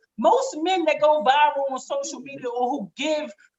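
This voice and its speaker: Animated, high-pitched woman at a moderate pace, her intonation lively. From Baltimore. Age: 40s. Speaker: social media commentator. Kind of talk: casual talk show chat.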